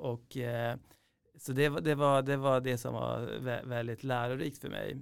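A man talks at a fairly slow pace with a medium pitch. His intonation is monotone and flat. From Iran, raised in Sweden from age 9. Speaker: entrepreneur, company founder. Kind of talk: interview. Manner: hesitant, many fillers and repetitions.

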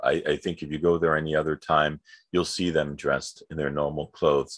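The speaker has a New York accent, captured in a very clean recording against a silent background, dry and close with no echo. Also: man. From New York City. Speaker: podcast co-host. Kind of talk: casual chat.

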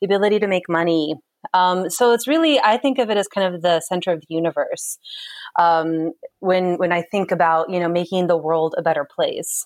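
A woman talks at a moderate pace with a medium pitch. Her pitch varies in an ordinary way. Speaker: social entrepreneur, sanitation advocate. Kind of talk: interview. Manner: energetic.

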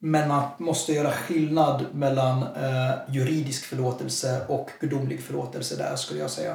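Moderately paced speech from a man at medium pitch, monotone and flat, with audible room echo and noticeable background noise. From Sweden, Jönköping. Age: 20s. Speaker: lay preacher. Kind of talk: casual interview.

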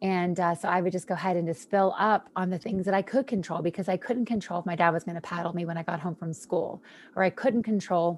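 On a very clean recording with a silent background, a woman speaks at a medium pitch in an unremarkable speaking voice. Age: 40s. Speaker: wellness speaker. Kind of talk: testimony.

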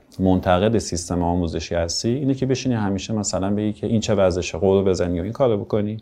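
Speaking at a very fast pace, a man leaves hardly any pauses. His voice is fairly low, with ordinary pitch variation. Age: 40s. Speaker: writer and podcast co-founder. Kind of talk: interview storytelling.

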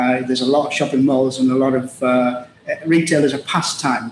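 A man with a Teesside accent at a moderate pace, fairly high pitch and fairly even intonation, over noticeable background noise. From northeast England, Middlesbrough. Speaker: logistics executive. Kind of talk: interview. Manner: halting.

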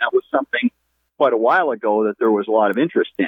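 His pitch swings very widely. The man speaks at a very fast pace. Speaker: caller. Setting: phone call.

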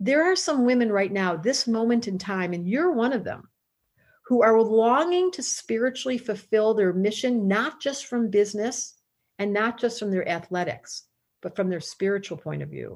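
A woman with a plain, everyday voice speaks at a moderate pace, fairly high in pitch with lively intonation, in a very clean recording with a silent background. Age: 60s. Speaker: astrologer with psychology background. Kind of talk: interview.

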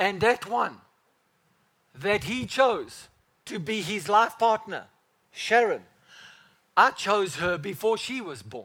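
A man speaks in a high, raised and projected voice with a bright, sharp tone and lively intonation. His pace is very slow, with long, frequent pauses and big swings in loudness. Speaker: pastor. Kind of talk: sermon. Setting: church. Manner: animated; fervent, preaching in full flow, speaking as Father God.

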